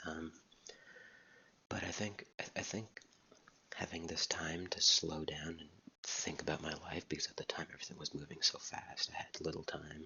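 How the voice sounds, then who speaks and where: Someone whispers at a moderate pace. Long, frequent pauses break up the speech. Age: 20s. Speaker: YouTuber. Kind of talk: casual vlog monologue. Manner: quiet, soft-spoken; halting with many repetitions.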